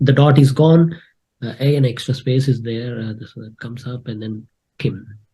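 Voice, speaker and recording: In a Telugu accent, a man speaks with a dark, mellow tone, somewhat breathy, and fairly even intonation. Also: medium pitch for a man, moderate pace, big swings in loudness. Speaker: spreadsheet expert, content creator. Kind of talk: live tutorial / screen-share challenge. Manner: hesitant with many fillers.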